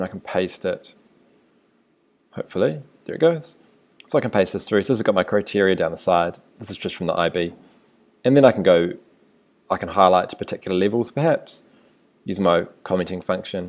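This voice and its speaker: A man with a New Zealand accent, fairly low in pitch, fairly quick with long, frequent pauses and lively intonation, in a very clean recording with a silent background. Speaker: teacher. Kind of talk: tutorial. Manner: casual, conversational.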